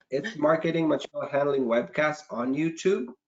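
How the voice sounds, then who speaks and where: A man with a non-native accent speaks at a fairly slow pace, his pitch swinging very widely. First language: not English. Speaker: marketing manager. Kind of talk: casual chat.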